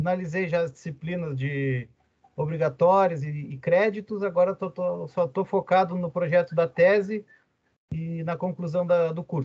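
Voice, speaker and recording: Speaking fairly slowly with a Rio Grande do Sul accent, a man uses a high pitch and fairly even intonation. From southern Brazil, Rio Grande (RS). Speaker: university lecturer and business administrator. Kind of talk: lecture. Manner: casual, with many fillers.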